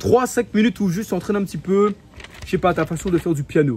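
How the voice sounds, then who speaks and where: Here a man talks with an animated tone, lively intonation and a high pitch. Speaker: self-improvement youtuber. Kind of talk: motivational talk to camera. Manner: fast; casual, animated.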